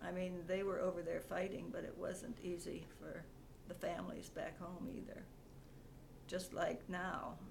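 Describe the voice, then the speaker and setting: A woman talks with audible room echo. Noticeable background noise runs behind her. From Ontario, Canada. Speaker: interviewee, mother. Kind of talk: family interview. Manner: halting.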